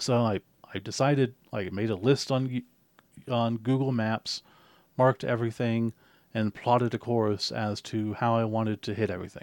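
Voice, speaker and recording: On a very clean recording with a silent background and a dry, close sound with no echo, a man talks at a moderate pace and medium pitch. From US, born in Spain to military family. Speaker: podcast co-host. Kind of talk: casual chat. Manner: animated.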